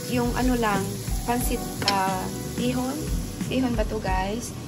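Clear music plays in the background while the speaker goes at a fairly slow pace. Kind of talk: casual cooking tutorial. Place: kitchen. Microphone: phone near.

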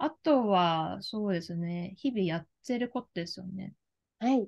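A woman speaks at a very slow pace, with lively intonation and big swings in loudness. The background is quiet. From Japan, Kagawa (Shodoshima island); Japan. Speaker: life career coach; career coach interviewee. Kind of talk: interview. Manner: hesitant, many fillers. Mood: earnest, warm. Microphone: video call.

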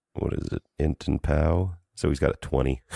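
A man speaks at a moderate pace with extremely low pitch, vocal fry and fairly even intonation. His tone is dark and mellow, and the sound is dry and close with no echo.

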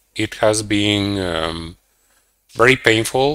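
A man at a very slow pace and fairly low pitch, with a dry sound and no echo. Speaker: guest. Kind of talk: interview answer. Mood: subdued, reflective about breakup. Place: home room. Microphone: headset.

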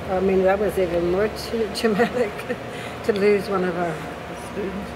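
At a moderate pace, a woman talks over noticeable background noise. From Miami, United States. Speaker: documentary photographer. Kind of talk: casual conversation. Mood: reflective, emotional. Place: cafe. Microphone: phone near.

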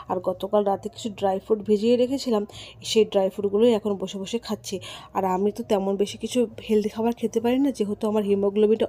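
With monotone, flat intonation, a woman's voice comes through in a dark, mellow tone. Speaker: lifestyle vlogger. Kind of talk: vlog narration. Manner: casual, chatty.

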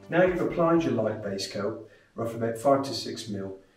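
A man talks at a moderate pace with lively intonation. Audible echo fills the room. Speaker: render trainer. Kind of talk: tutorial. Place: workshop. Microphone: camera far.

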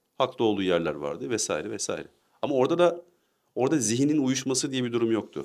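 Speaking at a very fast pace, a man with a medium pitch and vocal fry uses lively intonation. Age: 20s. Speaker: discussion partner. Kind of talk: casual discussion.

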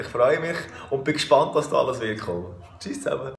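Light background noise and audible room echo surround a man talking at a very fast pace. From Switzerland. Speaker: musician. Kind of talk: casual talk to camera. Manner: relaxed, joking. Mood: friendly, relaxed. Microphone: phone near.

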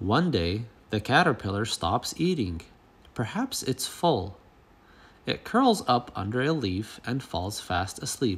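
Speaking at a very slow pace, a man uses a dramatic, playful tone with very wide pitch swings, a medium pitch and a somewhat breathy sound. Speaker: storybook reader. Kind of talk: children's story read aloud. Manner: dramatic, expressive storytelling with playful emphasis.

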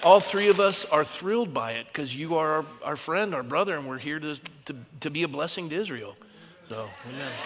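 A fairly high-pitched man at a fairly quick pace, with big swings in loudness over noticeable background noise. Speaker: pastor. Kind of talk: panel discussion. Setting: stage with audience. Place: church.

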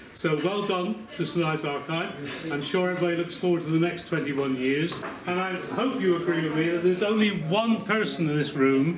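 A man talks at a moderate pace in a high voice. Noticeable background noise runs underneath. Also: ordinary pitch variation. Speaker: guest. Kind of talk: after-dinner speech. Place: hall. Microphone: camera far.

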